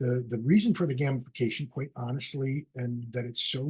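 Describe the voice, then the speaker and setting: A man with a medium-pitched, somewhat breathy voice is speaking. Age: 60s. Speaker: ad agency creative director. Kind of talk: solo video webcast talk. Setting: video call. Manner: casual, with many fillers.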